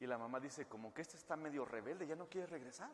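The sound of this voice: A man talks fast at a fairly high pitch. His intonation is lively.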